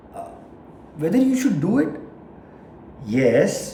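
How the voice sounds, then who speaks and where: A man at a fairly slow pace with very wide pitch swings, plus audible room echo and noticeable background noise. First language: not English. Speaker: vlogger. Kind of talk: casual monologue. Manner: halting.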